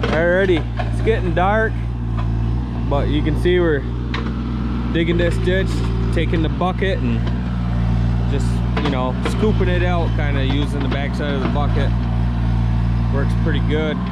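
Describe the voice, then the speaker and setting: Speech moves at a moderate pace with long, frequent pauses, dry with no echo but set against loud background noise. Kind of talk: casual vlog commentary. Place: forest. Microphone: phone near.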